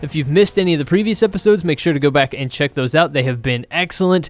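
Very fast, lively speech from a man with a fairly high voice and an American accent. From Texas. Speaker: podcast host. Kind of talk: casual chat.

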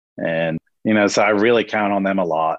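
A man with an American accent has a plain, everyday voice, fairly low in pitch with ordinary pitch variation. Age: 40s. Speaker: small business owner, mulch company. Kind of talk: casual interview.

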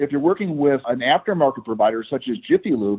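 A man with an American accent speaks at a fairly quick pace. He has a plain, everyday voice, pitched fairly high. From Michigan. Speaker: automotive technical manager, former mechanic. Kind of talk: interview.

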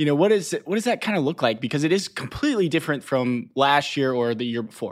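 A man with an American accent and a plain, everyday voice, fairly high in pitch, at a fairly quick pace with lively intonation, on a very clean recording with a silent background. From Chattanooga, Tennessee, US South. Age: 20s. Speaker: podcast host, sales director. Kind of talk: interview.

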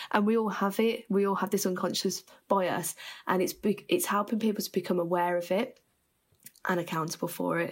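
With a Birmingham accent, a woman speaks fairly quickly at medium pitch in a very clean recording with a silent background. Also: fairly even intonation. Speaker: farming skills development worker. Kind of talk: interview.

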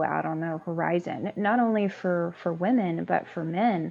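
Soft-spoken, a woman talks at a fairly slow pace with an American accent. Her pitch is fairly low. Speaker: construction project manager. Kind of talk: panel interview.

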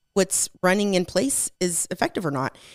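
At a moderate pace, a woman with an American accent talks in an unremarkable speaking voice at a medium pitch. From Magnolia, Texas. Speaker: school board candidate. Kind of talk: interview. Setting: studio.

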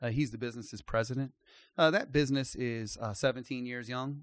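With an American accent, a man uses a normal speaking voice at a medium pitch and fairly quick pace. His intonation is fairly even, and the sound is dry and close with no echo. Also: very clean recording, silent background. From US, Maryland. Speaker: company CEO. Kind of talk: casual interview.

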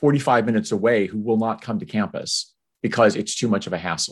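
This man has an unremarkable speaking voice at medium pitch, talking at a moderate pace with a quiet background. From US Army bases abroad, high school near Tokyo. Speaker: university fundraising executive. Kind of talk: interview conversation.

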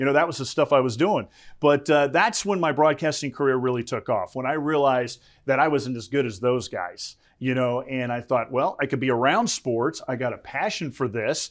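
A man talks with an American accent and an unremarkable speaking voice. His pitch is medium, with ordinary variation, at a moderate pace. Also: quiet background. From US South, South Florida. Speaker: sportscaster. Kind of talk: interview. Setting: studio.

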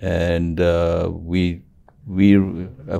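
A man's very deep, low voice, dark and mellow in tone with monotone, flat intonation, on a very clean recording with a silent background. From Zambia, Africa. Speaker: hotel industry executive. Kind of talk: interview. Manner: halting.

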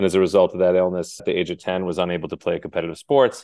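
A man speaks very fast in a very deep, low voice. The sound is dry and close with no echo, over a quiet background. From Massachusetts, Cape Cod. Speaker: nurse executive. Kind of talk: interview conversation.

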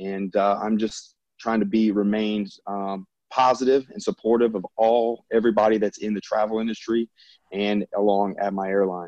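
Someone speaks at a moderate pace with a Southern US accent, in a dark, mellow tone. The intonation is monotone and flat, and the sound is dry and close with no echo. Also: man, fairly low pitch for a man. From US South, Louisiana. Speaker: airline pilot.

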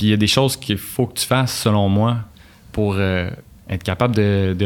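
This is an ordinary speaking voice at a moderate pace. The intonation stays fairly even. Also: man. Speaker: engineer and author. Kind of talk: casual interview.

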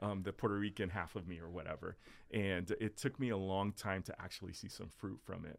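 A man with an American accent speaks at a fairly quick pace. He has a plain, everyday voice with a fairly low pitch. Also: fairly even intonation. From South Florida. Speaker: pastor. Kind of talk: casual chat.

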